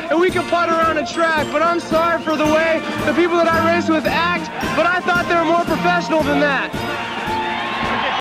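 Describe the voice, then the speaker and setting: With loud music in the background, a man keeps a moderate pace as he talks. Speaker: professional motocross racer. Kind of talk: speech addressed to the stadium crowd. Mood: indignant, fired up. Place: stadium. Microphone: handheld.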